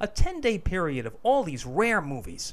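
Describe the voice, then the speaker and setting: This man speaks with an American accent. His pace is moderate. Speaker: podcast producer. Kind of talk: scripted narration.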